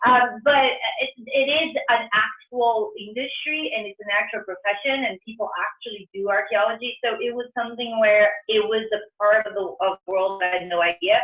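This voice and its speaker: A woman speaks with a Brazilian Portuguese accent. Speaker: entrepreneur, restaurant founder. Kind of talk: career talk interview. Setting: video call. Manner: halting, many fillers and restarts.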